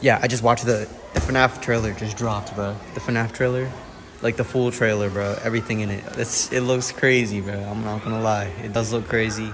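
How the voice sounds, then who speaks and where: Against noticeable background noise, a man speaks at a fairly quick pace with monotone, flat intonation. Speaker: vlogger. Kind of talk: casual vlog chat. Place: hall. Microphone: phone near.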